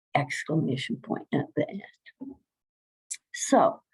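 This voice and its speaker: A woman speaks at a fairly slow pace with medium pitch. Vocal fry runs through her voice. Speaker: healthcare consultant presenter. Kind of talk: presentation. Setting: video call.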